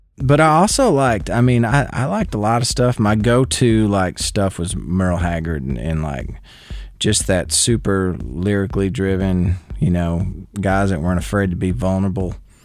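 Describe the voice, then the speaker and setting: There is noticeable background noise behind a man whose voice sits very deep and low, moving at a moderate pace. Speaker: country singer-songwriter. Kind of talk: casual interview chat. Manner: halting, repetitive restarts.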